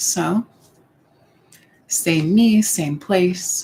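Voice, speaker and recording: The woman's voice comes across somewhat breathy. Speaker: YouTuber. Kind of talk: casual live-stream talk to camera. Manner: slow.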